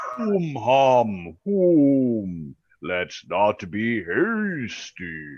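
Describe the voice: Using a put-on character voice, a man speaks at a medium pitch with very wide pitch swings. His pace is very slow.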